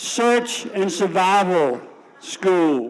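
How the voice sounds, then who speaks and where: A man talks with a slight Tidewater Virginia accent. Room echo can be heard around his voice. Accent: slight Tidewater Virginia Southern. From Suffolk, Virginia. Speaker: storyteller, Navy veteran. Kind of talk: personal storytelling on stage. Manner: folksy, humorous.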